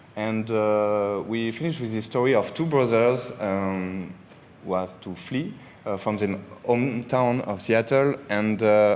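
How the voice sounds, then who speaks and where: Audible room echo around a man's medium pitch, ordinary pitch variation, and a fairly slow pace. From France. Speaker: video game creative director. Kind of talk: convention panel talk. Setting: stage with live audience. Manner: hesitant, many fillers.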